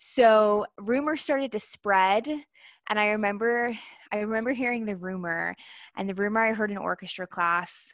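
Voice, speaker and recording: A normal speaking voice in an American accent, dry and close with no echo, on a very clean recording with a silent background. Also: woman. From Northern Virginia. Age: 30s. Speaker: podcast co-host. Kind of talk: casual chat.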